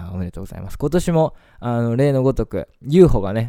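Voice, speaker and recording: On a very clean recording with a silent background, a man speaks in a dark, mellow tone with lively intonation. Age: 20s. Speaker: radio host. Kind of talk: casual monologue.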